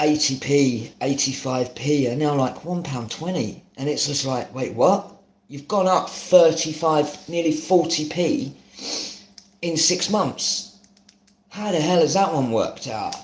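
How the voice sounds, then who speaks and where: With a southern English accent, a man talks fairly slowly at a fairly high pitch with ordinary pitch variation, amid audible room echo and noticeable background noise. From London, Hackney. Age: 30s. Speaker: home cook streamer. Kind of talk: live cooking stream chat. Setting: live stream.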